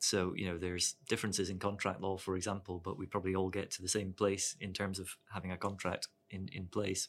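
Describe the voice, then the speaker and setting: Speaking fairly quickly with hardly any pauses, a man with a southern Scottish accent talks in a very deep, low voice with monotone, flat intonation. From Scotland, Dumfries. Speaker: lawyer. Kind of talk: casual professional discussion. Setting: studio.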